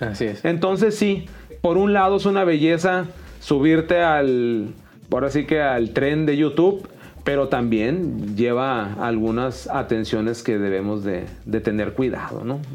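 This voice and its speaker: Amid noticeable background noise and audible room echo, a man at medium pitch speaks fairly slowly with very wide pitch swings. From Mexicali, Baja California, Mexico. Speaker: university math teacher and educational youtuber. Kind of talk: interview.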